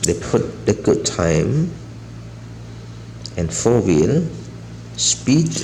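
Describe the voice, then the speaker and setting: A man speaks at a very slow pace with long, frequent pauses. Noticeable background noise and audible room echo are present. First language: not English. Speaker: toy reviewer. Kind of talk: casual product showcase. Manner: halting.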